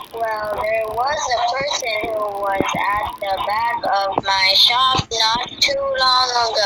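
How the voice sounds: Through clear background noise comes a female-sounding voice in a put-on character voice, pitched fairly high. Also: fairly slow pace.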